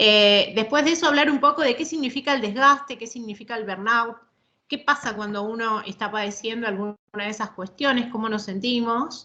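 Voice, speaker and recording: A woman speaks at a fairly high pitch with a bright, sharp tone. Her pitch variation is ordinary. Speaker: psychologist and court expert lecturing. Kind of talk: online lecture. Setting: video call. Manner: fast when she gets going; hesitant fillers and repetitions.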